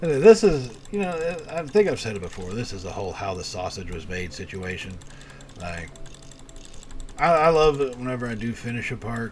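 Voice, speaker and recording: At a moderate pace, the speaker stops often for long pauses. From Texas. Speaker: video game streamer. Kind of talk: live stream gameplay commentary. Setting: live stream. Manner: casual, with frequent fillers and restarts.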